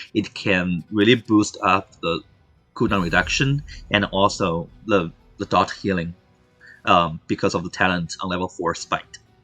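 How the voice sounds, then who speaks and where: Over music in the background, a man with a non-native accent speaks in a very deep, low pitch with ordinary pitch variation. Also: moderate pace. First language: not English. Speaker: esports caster. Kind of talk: live commentary. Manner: halting, many fillers.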